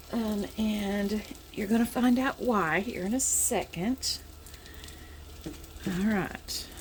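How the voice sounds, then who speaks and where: Quiet and with a Southern US accent, a woman speaks over noticeable background noise. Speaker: home cooking vlogger. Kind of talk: cooking tutorial. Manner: halting.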